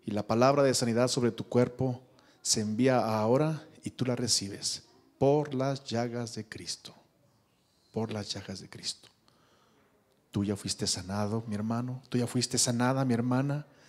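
Speaking at a fairly slow pace, a man keeps his intonation fairly even and stops often for long pauses. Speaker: pastor. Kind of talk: closing benediction and prayer; prayer and blessing. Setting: church. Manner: fervent, declaratory. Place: church. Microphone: handheld.

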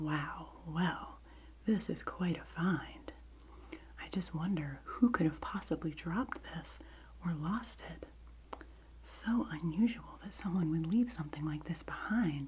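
Soft-spoken and gentle in tone, this voice moves at a fairly slow pace over light background noise. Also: woman. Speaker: video creator. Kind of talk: soft-spoken role-play show-and-tell, ASMR-like. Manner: soft-spoken, gentle ASMR voice. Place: home room. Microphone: phone near.

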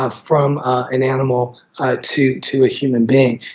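The man's voice is somewhat breathy and fairly high in pitch. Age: 50s. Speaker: infectious disease physician; guest. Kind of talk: interview. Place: home room. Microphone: video call.

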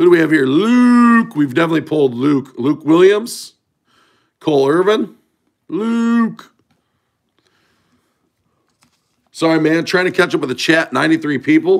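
Over a quiet background, the speaker goes at a fairly slow pace with long, frequent pauses. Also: man. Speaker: card breaker streamer. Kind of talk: casual live stream chat. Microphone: phone near.

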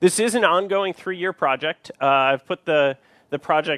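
The background is quiet and the sound is dry, with no echo. A man speaks at a moderate pace with ordinary pitch variation. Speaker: conference presenter. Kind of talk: lecture. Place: stage.

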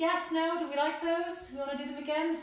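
There is strong room echo around this woman's voice. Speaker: fitness instructor. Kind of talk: live workout instruction. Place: home room. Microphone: camera far.

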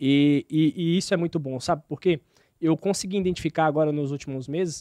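A man speaks at a fairly quick pace in a dark, mellow tone. The sound is dry with no echo, and the background is quiet. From Bahia, Brazil (Vitória da Conquista); Bahia, Brazil. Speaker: açaí delivery business owner; podcast guest. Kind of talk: podcast interview. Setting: studio, live stream. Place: studio. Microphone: studio mic.

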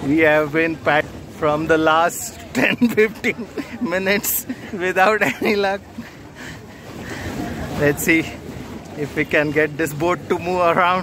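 A man's high voice at a fairly slow pace, with ordinary pitch variation, long and frequent pauses, a dry sound with no echo and noticeable background noise. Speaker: travel vlogger. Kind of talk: casual vlog chat. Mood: playful, teasing. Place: boat. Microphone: phone near.

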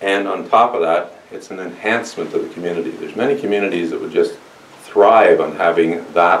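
A man with a Canadian accent talks at a fairly quick pace. Light background noise and audible room echo surround him. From Ontario. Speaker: mayor and election candidate; mayor, election candidate. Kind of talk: campaign speech to supporters. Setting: church hall with audience. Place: hall.

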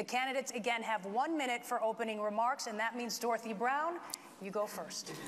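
A woman's fairly high voice at a fairly quick pace, with ordinary pitch variation and light background noise. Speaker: TV news anchor moderating forum. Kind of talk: debate moderation. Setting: school auditorium with audience. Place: hall. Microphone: lapel.

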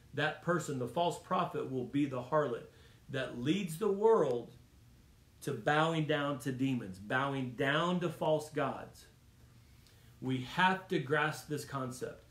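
Speaking at a very slow pace, a man has a warm, somewhat breathy tone and ordinary pitch variation, with audible room echo. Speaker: preacher. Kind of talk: Bible study teaching turning into a fervent sermon, with prayer. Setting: church Bible study, streamed video. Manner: urgent, emphatic, repeating lines for punch; warm and exhortative, directly addressing the audience. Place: home room. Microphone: phone near.

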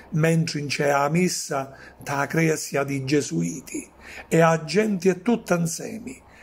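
A high-pitched man at a very slow pace with lively intonation. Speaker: poet. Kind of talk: poetry reading.

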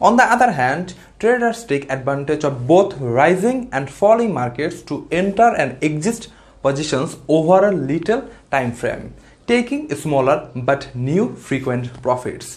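A non-native accent at a fairly slow pace. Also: man. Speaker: finance channel creator. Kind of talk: scripted tutorial. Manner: formal.

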